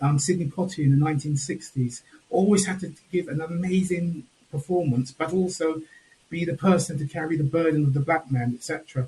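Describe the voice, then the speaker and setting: A man with a Home Counties accent talks at a fairly quick pace and fairly high pitch. His tone is dark and mellow, with ordinary pitch variation. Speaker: panel speaker. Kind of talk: panel discussion. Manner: measured and controlled.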